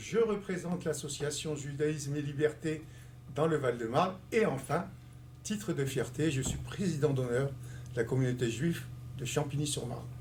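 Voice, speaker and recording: Vocal fry marks a man's fairly high-pitched voice. He leaves long, frequent pauses, and audible room echo surrounds him. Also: ordinary pitch variation, moderate pace. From Algeria (Constantine). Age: 60s. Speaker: community leader and election candidate. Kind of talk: interview.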